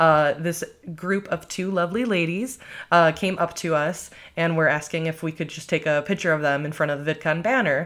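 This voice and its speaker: A woman with an American accent and an unremarkable speaking voice talks at a moderate pace in a fairly low pitch with ordinary pitch variation, on a very clean recording with a silent background. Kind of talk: casual interview conversation.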